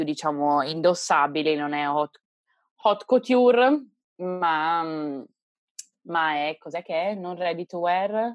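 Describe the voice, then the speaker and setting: Her pace is very slow, with long, frequent pauses. The woman has a fairly low pitch and ordinary pitch variation. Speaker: podcast co-host. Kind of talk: casual chat.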